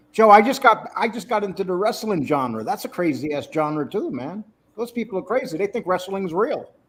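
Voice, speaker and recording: At a moderate pace, a man talks with lively intonation and a high pitch. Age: 60s. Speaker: YouTube content creator. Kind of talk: casual chat.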